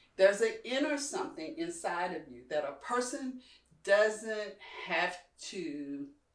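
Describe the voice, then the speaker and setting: A woman speaks at a medium pitch and a fairly slow pace, with very wide pitch swings and big swings in loudness. The room echo is audible. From Kentucky, US South. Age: 60s. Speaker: community leader. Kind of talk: interview conversation.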